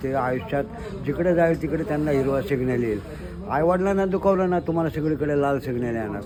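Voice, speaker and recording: A man's voice sits fairly high. Background noise is noticeable. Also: ordinary pitch variation. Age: 60s. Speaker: pilgrim cyclist. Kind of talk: interview answer.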